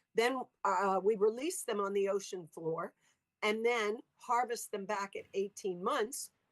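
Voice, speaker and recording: In an American accent, a woman has a plain, everyday voice at medium pitch with ordinary pitch variation. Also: dry, close sound with no echo. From US South, Louisiana. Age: 60s. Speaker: sea cucumber farming entrepreneur, former biology teacher. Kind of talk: interview with slide presentation.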